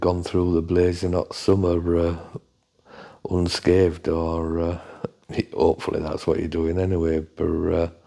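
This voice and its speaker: A man speaks with an English accent. His voice is very deep and low, with a dark, mellow tone. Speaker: fishery manager and channel host. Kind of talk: monthly update talk. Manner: hesitant, many fillers.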